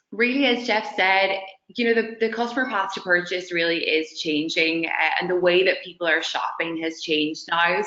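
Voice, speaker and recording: With an Irish accent, a woman speaks at a medium pitch and a moderate pace. Her pitch varies in an ordinary way. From Dublin, Ireland. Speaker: tech company representative. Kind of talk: webinar presentation.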